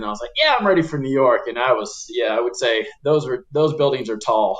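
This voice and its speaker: Over noticeable background noise, a man speaks at a fairly quick pace with an American accent. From Oklahoma City, USA. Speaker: community economic development attorney. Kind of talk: podcast interview answer. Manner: casual, hesitant.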